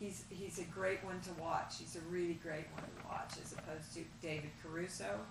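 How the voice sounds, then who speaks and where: A woman talks with fairly even intonation. Room echo is audible, and there is noticeable background noise. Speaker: acting teacher. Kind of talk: critique feedback to students. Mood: warm, encouraging, joking. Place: classroom.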